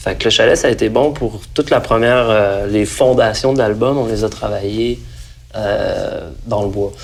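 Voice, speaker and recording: A man at a fairly slow pace with a Quebec accent, against noticeable background noise. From Saint-Nicolas, near Quebec City, Quebec. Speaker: singer-songwriter. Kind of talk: interview answer. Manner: casual, conversational.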